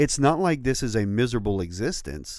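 The voice has a dark, mellow tone and lively intonation. It moves at a fairly quick pace. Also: man. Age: 40s. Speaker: podcast co-host and campus pastor. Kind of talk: casual chat. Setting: studio.

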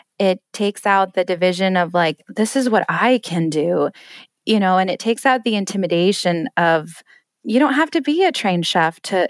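This woman has an unremarkable speaking voice, lively intonation and a moderate pace. The sound is dry and close with no echo, in a very clean recording with a silent background. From Colorado, US (Denver). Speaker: home chef and recipe blogger. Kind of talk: podcast interview.

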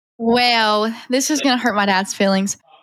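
A woman with a Southern US accent talks with ordinary pitch variation. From North Carolina. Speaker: auto shop marketer. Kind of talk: casual interview.

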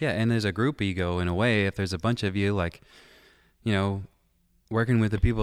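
Very clean recording, silent background: a man with an American accent speaks at a very fast pace and a fairly low pitch, with ordinary pitch variation. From East Tennessee, then Chicago from age ten. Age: young. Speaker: music producer and mixing engineer. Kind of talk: casual interview chat. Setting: recording studio.

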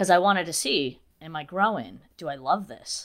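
With an American accent, a woman speaks at a fairly low pitch and a fairly slow pace, her intonation lively. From Massachusetts, New Bedford. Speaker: beauty influencer. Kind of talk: casual interview. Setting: remote interview. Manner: animated.

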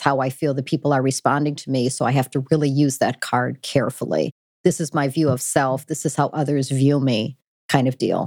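A woman's very deep, low voice in an American accent, flat and monotone, dry and close with no echo, on a very clean recording with a silent background. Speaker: business executive. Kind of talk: interview conversation. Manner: fast talker.

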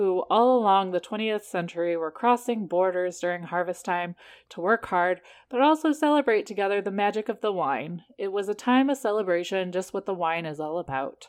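Speaking at a moderate pace, a woman uses a medium pitch, lively intonation and an animated tone. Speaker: podcast co-host. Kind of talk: casual chat. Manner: laughs often, animated.

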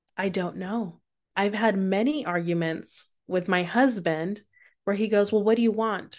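Against a quiet background, a woman with an unremarkable speaking voice and medium pitch talks at a moderate pace with ordinary pitch variation. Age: 30s. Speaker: adult educator and podcast host. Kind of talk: casual interview chat.

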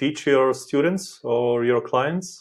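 A man speaks with a non-native accent. His pitch is medium, with ordinary variation. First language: not English. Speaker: podcast host. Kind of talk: interview. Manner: halting.

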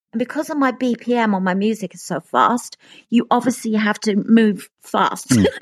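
A woman's somewhat breathy, fairly high-pitched voice comes through dry and close with no echo, against a quiet background. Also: ordinary pitch variation, moderate pace. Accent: British. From England. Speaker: pop singer. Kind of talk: casual interview. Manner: laughs a lot.

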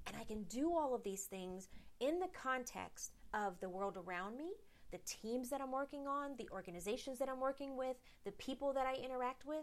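A woman's high-pitched voice moves with lively intonation. She keeps a moderate pace. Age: 40s. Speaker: podcast host and leadership coach. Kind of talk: solo motivational talk.

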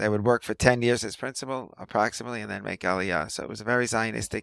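A man with a New York accent speaks in a bright, sharp tone with fairly even intonation, recorded very cleanly over a silent background with a dry, close sound and no echo. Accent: New York American. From New York City (Riverdale, the Bronx). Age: 50s. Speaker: physical trainer and massage therapist. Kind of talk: casual interview conversation.

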